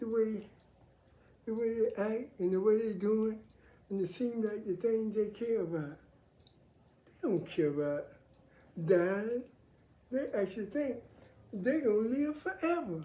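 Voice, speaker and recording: Her dark, mellow tone is somewhat breathy as the woman speaks at a fairly slow pace with lively intonation and long, frequent pauses. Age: 70s. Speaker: military veteran sharing faith views. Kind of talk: casual monologue on faith and politics.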